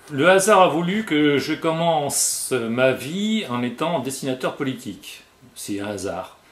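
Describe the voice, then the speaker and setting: A man with a fairly high pitch speaks at a very slow pace, his voice swinging very widely in pitch. Room echo is audible. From Tunisia, later Brittany. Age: 50s. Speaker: comic book author. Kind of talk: guided tour interview. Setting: at home in his workroom. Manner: hesitant, frequent 'euh'.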